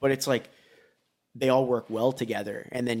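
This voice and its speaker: A man speaks with vocal fry. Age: 30s. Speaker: BMX rider. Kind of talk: casual chat.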